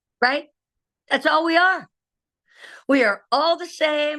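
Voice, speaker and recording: Projecting her voice, a woman speaks in an animated, bright and sharp tone. The background is quiet. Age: 60s. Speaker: direct sales director. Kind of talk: training presentation on video call.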